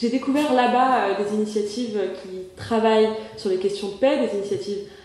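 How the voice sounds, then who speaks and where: A woman's medium-pitched voice at a moderate pace, with audible room echo and noticeable background noise. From Morocco. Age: 20s. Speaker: association president, seminar speaker. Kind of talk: conference talk. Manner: hesitant, many filler sounds.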